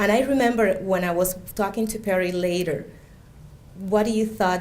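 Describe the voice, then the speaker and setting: Fairly quick talk from a woman with a Spanish accent at a medium pitch, with audible room echo. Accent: Spanish accent, identifiable. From Cuba. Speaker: immigrant speaker, education worker. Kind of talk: personal testimony speech.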